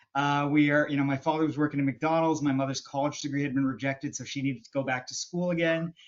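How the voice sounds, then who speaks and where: A man with a slight Canadian accent, fairly high-pitched for a man, talking at a very fast pace in a fairly even intonation. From western Canada. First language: Hindi. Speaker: business and marketing expert. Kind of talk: podcast interview. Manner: halting, many fillers.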